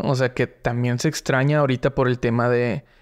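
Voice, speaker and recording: At a moderate pace, a man is speaking. The background is quiet. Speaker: podcast host. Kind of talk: casual interview. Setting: studio. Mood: relaxed, friendly. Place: studio. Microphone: studio mic.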